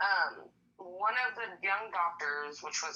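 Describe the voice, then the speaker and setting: Against noticeable background noise, a woman with an American accent speaks with lively intonation. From California. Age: 30s. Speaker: patient sharing illness story. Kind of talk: testimony. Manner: casual, lots of filler words.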